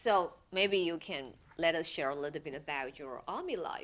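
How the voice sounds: A woman's low-pitched voice with lively intonation. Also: moderate pace.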